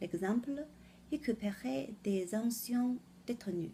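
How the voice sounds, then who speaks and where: Speaking at a very slow pace, a woman with a Chinese accent uses lively intonation and a medium pitch, her dark, mellow tone somewhat breathy. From China. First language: Chinese (speaking French). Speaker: French learner presenting a word of the day. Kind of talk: vocabulary lesson. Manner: halting.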